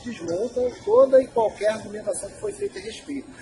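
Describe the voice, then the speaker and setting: Noticeable background noise sits behind a man talking at a fairly quick pace. His voice is extremely high, with very wide pitch swings. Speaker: association spokesperson. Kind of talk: association Q&A video. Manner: casual.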